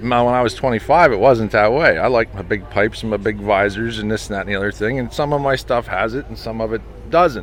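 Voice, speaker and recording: Very fast speech from a man with an American accent, medium pitch and ordinary pitch variation, over noticeable background noise. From Pennsylvania, US. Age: 40s. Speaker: truck restoration shop owner, former long-haul trucker. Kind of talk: casual interview.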